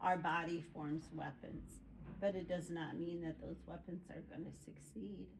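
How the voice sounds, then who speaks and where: Audible room echo surrounds a woman who talks fairly slowly. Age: 60s. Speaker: group participant. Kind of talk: casual chat.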